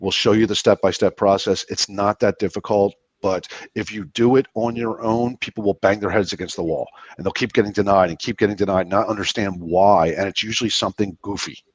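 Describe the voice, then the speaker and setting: With an American accent, a man talks at a fairly quick pace and a fairly low pitch, his intonation fairly even and the sound dry and close with no echo. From US Northeast, Philadelphia area. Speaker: business credit expert, guest. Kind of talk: interview. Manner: fast.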